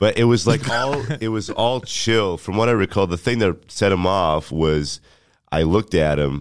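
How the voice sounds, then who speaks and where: A man with a fairly low pitch at a moderate pace, lively intonation, an unremarkable speaking voice, and a very clean recording with a silent background. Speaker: comedian. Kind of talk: casual chat.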